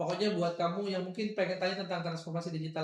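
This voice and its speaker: A man speaks very fast with a Makassar accent, his pitch high and his intonation fairly even. Noticeable background noise runs under the recording. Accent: Makassar local. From South Sulawesi, Makassar region. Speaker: radio host. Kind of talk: casual radio talk show chat.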